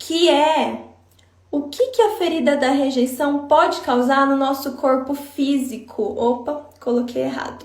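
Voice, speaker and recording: There is audible room echo and noticeable background noise as a woman with a high pitch speaks at a fairly slow pace with ordinary pitch variation. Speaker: psychologist. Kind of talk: live stream talk. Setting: Instagram live.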